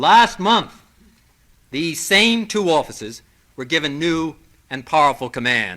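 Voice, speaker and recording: With an American accent, a man speaks at a moderate pace in a fairly high pitch, using a bright, sharp tone and lively intonation. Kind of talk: political speech. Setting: old tape recording, some parts corrupted.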